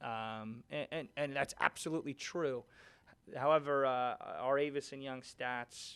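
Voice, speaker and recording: A man with a New York accent, medium pitch, moderate pace, on a very clean recording with a silent background. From New York City, Brooklyn. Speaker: commercial real estate broker. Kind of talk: podcast interview. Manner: casual, conversational.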